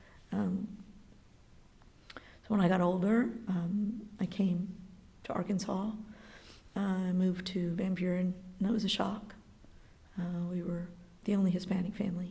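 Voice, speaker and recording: A woman with an American accent speaks at a medium pitch in a monotone, flat intonation, leaving long, frequent pauses, with audible room echo. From Texas (San Antonio, El Paso). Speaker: school library aide. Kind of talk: personal testimony interview. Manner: hesitant, many 'um' fillers.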